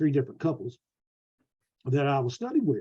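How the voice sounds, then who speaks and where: This man talks at a very fast pace with a Southern US accent. His medium-pitched voice is somewhat breathy. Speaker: preacher and preaching school teacher. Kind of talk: lecture. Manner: halting.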